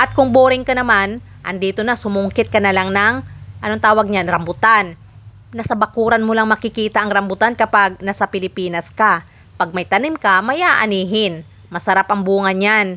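At a moderate pace, a woman with an ordinary speaking voice talks at medium pitch with ordinary pitch variation. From Philippines, rural province. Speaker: vlogger. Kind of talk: vlog narration.

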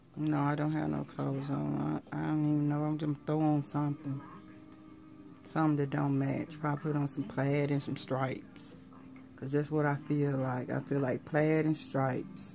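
A woman's very deep, low voice with monotone, flat intonation at a moderate pace, over clear music in the background. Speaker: vlogger. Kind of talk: casual vlog chat. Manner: weary, low-energy sick voice. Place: home room. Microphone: phone near.

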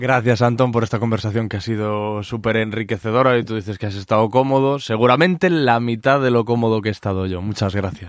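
With a plain, everyday voice, a man talks at a medium pitch and a fairly quick pace, with ordinary pitch variation and hardly any pauses. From Galicia, Spain (Corcubión). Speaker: podcast host. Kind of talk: interview; sales pitch.

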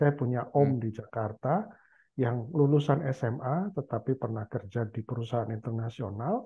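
At a moderate pace, a man uses a normal speaking voice, medium in pitch with ordinary pitch variation. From Indonesia, Central Java. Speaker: university professor; guest, professor. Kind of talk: casual chat. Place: home room. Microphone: headset.

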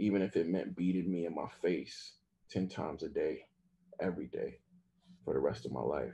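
Here a man talks at a moderate pace in a fairly low pitch. His tone is dark and mellow. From Southern US, Mississippi. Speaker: author. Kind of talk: memoir reading at a live event. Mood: somber, intimate. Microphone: video call.

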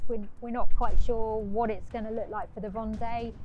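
A woman speaks with fairly even intonation over faint background music. The sound is dry, with no echo. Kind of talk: tour explanation to camera. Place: waterside.

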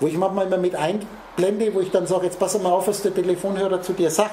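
A man talks very fast at a high pitch. Noticeable background noise and audible room echo are present. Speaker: spiritual speaker. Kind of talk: lecture. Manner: talks nonstop.

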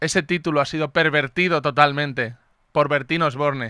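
Against a quiet background, a man with a fairly high voice and a bright, sharp tone speaks at a fairly slow pace with fairly even intonation, the sound dry with no echo. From Valencia, Spain; Spain. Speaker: comedian and show host; comedian, show host. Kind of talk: comedy talk show. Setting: radio studio with live audience.

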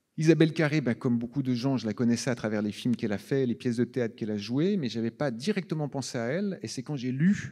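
Over a quiet background, a man speaks with a dark, mellow tone. His pitch varies in an ordinary way. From Switzerland. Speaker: film director. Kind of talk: festival Q&A on stage. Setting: stage with audience. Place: hall. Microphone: handheld.

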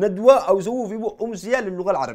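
A man with a high voice at a fairly quick pace, quiet background. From Yemen. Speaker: satirical comedy show host. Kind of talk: stand-up comedy with live audience. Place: studio.

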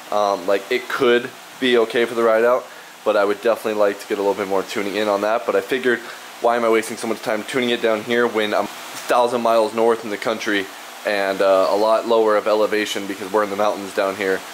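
A man talks at a very fast pace with a fairly low pitch over light background noise. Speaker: scooter enthusiast vlogger. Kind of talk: casual vlog chat. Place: garage. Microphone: phone near.

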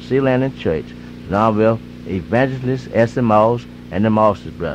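Speaking with an American accent, a man with a fairly low pitch talks at a moderate pace over light background noise. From Eastern North Carolina. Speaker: radio DJ. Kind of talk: gospel radio DJ patter and live ad reads. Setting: AM radio broadcast. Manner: loose, slurred enunciation. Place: studio. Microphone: old recording.

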